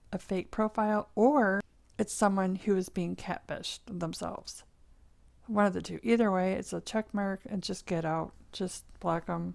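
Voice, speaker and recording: At a moderate pace and medium pitch, a woman speaks with fairly even intonation in an unremarkable speaking voice. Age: 50s. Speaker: dating vlogger. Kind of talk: casual talk to camera.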